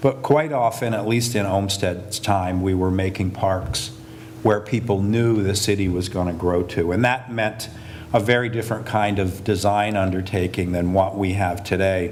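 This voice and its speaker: There is noticeable background noise and audible room echo. A man with an American accent talks at a moderate pace, fairly low in pitch, with fairly even intonation. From US Northeast, Hudson Valley. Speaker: landscape architect. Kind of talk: lecture. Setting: lecture hall with audience. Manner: hesitant, many fillers.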